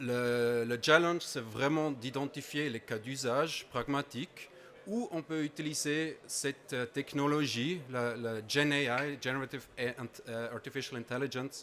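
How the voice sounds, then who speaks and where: A man with a non-native accent speaks at a fairly slow pace. His pitch is medium and his intonation fairly even. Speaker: conference presenter. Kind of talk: conference talk. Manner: halting, many hesitations.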